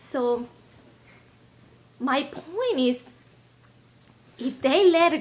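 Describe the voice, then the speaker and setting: Her pitch is high and her intonation lively. The woman speaks with a Spanish accent. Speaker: health and lifestyle video blogger. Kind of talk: casual vlog talk. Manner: halting.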